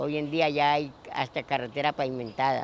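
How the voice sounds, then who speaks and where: A normal speaking voice from a man, fairly high in pitch, with fairly even intonation at a moderate pace. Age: 60s. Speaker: longtime local resident. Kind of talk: oral history interview.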